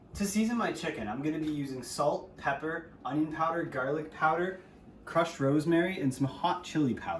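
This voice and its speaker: A man talks at a fairly quick pace in a fairly high voice with ordinary pitch variation. Background noise is noticeable. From Ontario, Canada (Windsor). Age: 20s. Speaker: amateur cook. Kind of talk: cooking tutorial narration.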